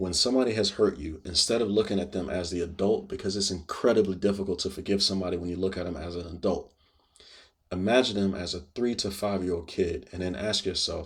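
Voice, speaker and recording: In a very clean recording with a silent background, a man talks at a very fast pace, somewhat breathy, at a fairly low pitch. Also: ordinary pitch variation. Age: 40s. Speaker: video blogger. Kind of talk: personal monologue to camera. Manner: casual.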